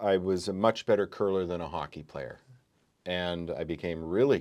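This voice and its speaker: A man with a Canadian accent. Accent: Canadian, moderate. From Canada, small town in Alberta. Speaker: curler and law academic. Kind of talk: casual interview.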